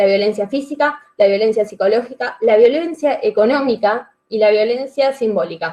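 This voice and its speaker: A woman with a fairly high pitch talks at a moderate pace, her pitch varying in an ordinary way. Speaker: teacher presenting research. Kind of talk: presentation at an institutional video-call session. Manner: animated, many rhetorical questions.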